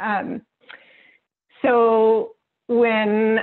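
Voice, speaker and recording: A woman speaks with a West Coast American accent. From northern California. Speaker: workbook co-author and facilitator. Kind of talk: workshop introduction.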